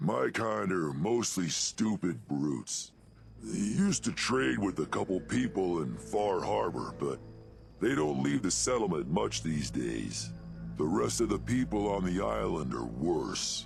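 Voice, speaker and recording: With clear music in the background, a man does a put-on character voice at a fairly slow pace. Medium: video game. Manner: gruff, plain-spoken.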